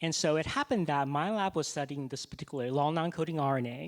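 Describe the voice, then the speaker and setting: A man with a normal speaking voice talks at a fairly quick pace in a fairly high pitch, on a very clean recording with a silent background. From Taiwan, moved to the US at twelve. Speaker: scientist and physician. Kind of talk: fireside chat on stage.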